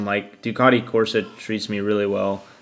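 A man speaks in a fairly low, flat monotone over music playing in the background. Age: 30s. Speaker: motorcycle racer. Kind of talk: casual chat.

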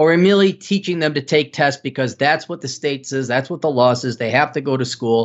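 Barely pausing, a man with an Upper Midwest accent talks at a very fast pace with a fairly high pitch and ordinary pitch variation. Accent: Upper Midwest American. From Wisconsin. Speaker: economist and author. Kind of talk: interview.

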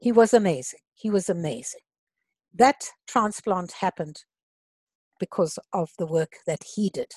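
A somewhat breathy woman's voice at medium pitch, fairly slow with long, frequent pauses, lively intonation and big swings in loudness, in dry, close sound with no echo. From Africa. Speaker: former service club executive. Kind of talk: interview.

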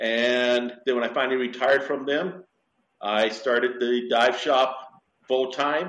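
A man with an American accent talks at a medium pitch with fairly even intonation. His is an unremarkable speaking voice, delivered at a fairly slow pace. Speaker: dive shop owner and instructor. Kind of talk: interview. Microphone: poor connection, messy audio.

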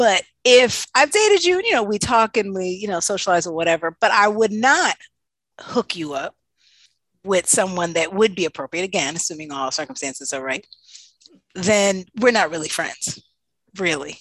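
In an ordinary speaking voice, a woman with a medium pitch talks at a moderate pace with lively intonation against a quiet background. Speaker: podcast host. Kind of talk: casual banter. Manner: joking, playful.

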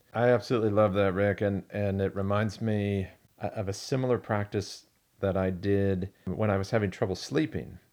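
At a moderate pace, a man with a fairly low pitch talks in an unremarkable speaking voice. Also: very clean recording, silent background. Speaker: podcast host and pastor-type teacher. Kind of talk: casual chat.

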